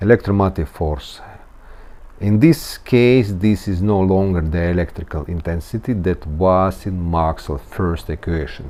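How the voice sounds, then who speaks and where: A man with a Russian accent speaks at a fairly slow pace in a very deep, low pitch, his tone dark and mellow with ordinary pitch variation. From Latvia. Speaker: engineer teaching physics. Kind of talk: tutorial. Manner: halting.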